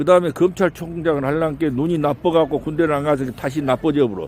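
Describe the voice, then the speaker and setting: Very fast speech comes from a man with a dark, mellow tone. His pitch is fairly high and varies in an ordinary way. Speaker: reporter. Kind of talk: street interview questions.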